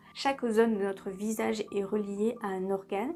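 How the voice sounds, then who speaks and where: A woman at a fairly slow pace with fairly even intonation and noticeable background noise. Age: 30s. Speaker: beauty and lifestyle vlogger. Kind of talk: casual tutorial vlog. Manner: chatty, conversational.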